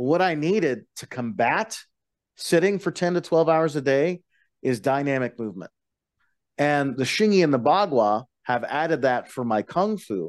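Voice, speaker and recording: A man with a normal speaking voice and an American accent talks at a moderate pace. His intonation is lively, and the background is quiet. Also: fairly high pitch for a man. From Colorado, western slope. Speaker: bus driver and martial arts practitioner. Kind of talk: casual chat.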